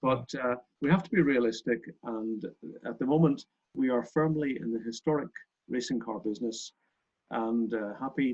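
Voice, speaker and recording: A man with a Northern Irish accent talks at a moderate pace. His pitch varies in an ordinary way. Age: 60s. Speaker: racing car company owner and club chairman. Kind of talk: interview.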